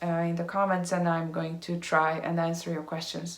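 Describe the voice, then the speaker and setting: With a Hungarian accent, a woman talks at a fairly quick pace in a fairly low pitch, and audible room echo surrounds her. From Hungary. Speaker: vlogger. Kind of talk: casual vlog update. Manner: halting, many fillers.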